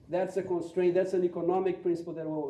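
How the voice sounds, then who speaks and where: A man speaks with a Portuguese accent over noticeable background noise. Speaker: economist. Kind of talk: panel talk. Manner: halting.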